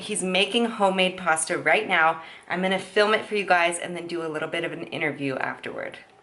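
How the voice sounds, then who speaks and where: Upbeat woman's voice at medium pitch and a fairly quick pace, with noticeable background noise. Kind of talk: casual vlog talk to camera.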